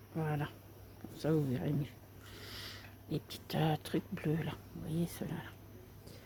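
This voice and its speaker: Whispering, a woman speaks at a very slow pace. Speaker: craft video creator. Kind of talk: tutorial. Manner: soft-spoken.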